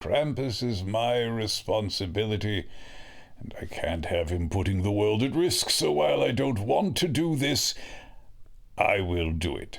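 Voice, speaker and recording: Using a put-on character voice, a man with a medium pitch talks at a moderate pace with very wide pitch swings. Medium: audio drama. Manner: calm, measured.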